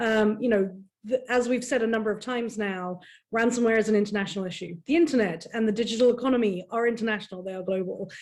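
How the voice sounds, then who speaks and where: With a British accent, a woman talks very fast in a fairly high voice with ordinary pitch variation. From United Kingdom. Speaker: cybersecurity panelist. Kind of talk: panel discussion. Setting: online event.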